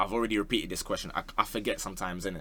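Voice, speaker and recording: This man has a bright, sharp tone and speaks with a London accent. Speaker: football YouTuber. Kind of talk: casual Q&A chat.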